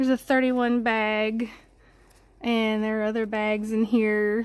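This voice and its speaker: With a Southern US accent, the speaker talks at a fairly slow pace in a monotone, flat intonation, on a very clean recording with a silent background. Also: woman, fairly high pitch for a woman. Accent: Southern drawl. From Mississippi. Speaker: home tour vlogger. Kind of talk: casual home tour.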